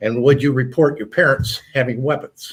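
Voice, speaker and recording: A man speaks at a fairly quick pace. His voice is somewhat breathy, with fairly even intonation. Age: 70s. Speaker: military veteran. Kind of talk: panel discussion. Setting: studio. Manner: halting.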